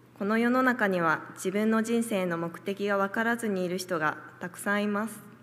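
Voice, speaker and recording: At a moderate pace, a woman with an unremarkable speaking voice talks at medium pitch with fairly even intonation. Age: young. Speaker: church member giving testimony. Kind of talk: testimony.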